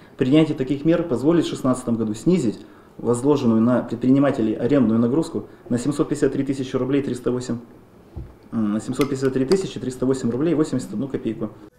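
With audible room echo and light background noise, a man speaks at a moderate pace in a medium-pitched, dark, mellow voice with ordinary pitch variation. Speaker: regional land control official. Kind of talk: formal meeting presentation. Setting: administration meeting. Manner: formal. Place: meeting room. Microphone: podium.

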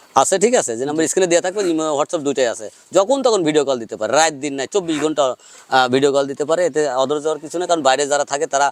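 This is a man with a plain, everyday voice. His pitch is fairly high, with ordinary variation. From Bangladesh, Pabna district. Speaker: cattle farmer and calf seller. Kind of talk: on-farm sales pitch interview.

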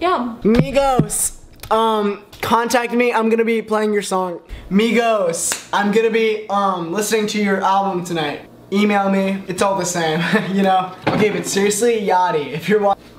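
The speaker keeps a moderate pace with fairly even intonation. Noticeable background noise runs underneath. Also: man, high pitch for a man. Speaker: vlogger. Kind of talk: casual vlog chat. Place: kitchen. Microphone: camera far.

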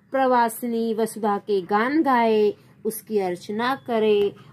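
Music plays in the background as a woman talks. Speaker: teacher. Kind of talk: lesson.

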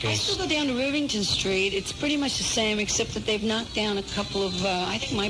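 Loud background noise runs under speech delivered at a fairly quick pace. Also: woman. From New York City. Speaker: rock singer and record producer. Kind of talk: radio interview answer. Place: studio. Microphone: old recording.

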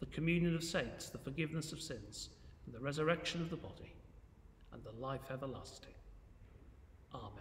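Fairly quick speech in an English accent, with ordinary pitch variation, big swings in loudness and light background noise. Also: man. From England. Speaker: church minister. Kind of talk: fervent intercessory prayer, earnest and devout, with solemn petitions. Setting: church, recorded video. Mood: calm, reverent. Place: church. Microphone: phone near.

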